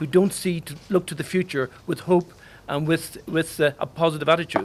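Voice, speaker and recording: This recording is very clean and its background silent. In it, a man speaks at a fairly quick pace. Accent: Irish. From Ireland. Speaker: diplomat. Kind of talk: official speech at press launch.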